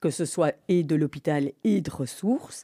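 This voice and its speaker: A woman's dark, mellow tone in a very clean recording with a silent background and a dry, close sound with no echo. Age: 60s. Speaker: breast radiologist. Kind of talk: interview.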